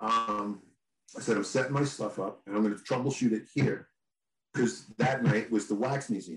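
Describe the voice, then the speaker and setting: A normal speaking voice with an American accent. The pitch varies in an ordinary way at a moderate pace. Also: man, medium pitch for a man. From New York. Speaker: band guitarist. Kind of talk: casual chat.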